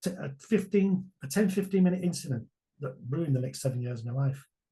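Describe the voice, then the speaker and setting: The man's voice is somewhat breathy, moving at a fairly quick pace with ordinary pitch variation. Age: 60s. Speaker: online business mentor. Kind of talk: interview answer.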